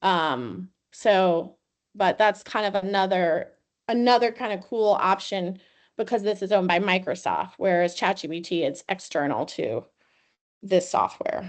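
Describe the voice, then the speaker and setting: The voice is a normal speaking voice with ordinary pitch variation. It moves at a fairly slow pace against a quiet background. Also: woman, medium pitch for a woman. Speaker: university educational technology trainer. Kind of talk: webinar tutorial.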